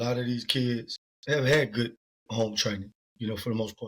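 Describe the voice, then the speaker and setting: The speaker has a south Louisiana accent. The pace is fairly quick. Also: man. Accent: south Louisiana US Southern. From Louisiana (Lafayette area, 337). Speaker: sports agent. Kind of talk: podcast interview.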